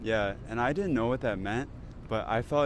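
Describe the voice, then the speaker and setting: Here a man with a plain, everyday voice and an American accent talks at a fairly low pitch and a fairly quick pace, keeping his intonation fairly even. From United States. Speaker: pharmacy student. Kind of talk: casual chat.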